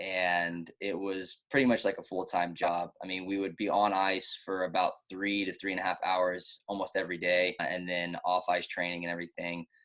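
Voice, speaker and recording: A man's very deep, low voice in a monotone, flat intonation at a moderate pace, with hardly any pauses. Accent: American. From Texas, Austin. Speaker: ice cross downhill athlete and gym coach. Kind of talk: casual interview chat.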